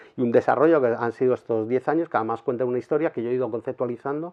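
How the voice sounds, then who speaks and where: The man's pitch is medium and varies in an ordinary way. He talks very fast. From Spain, Madrid. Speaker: street photographer. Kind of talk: interview. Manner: halting.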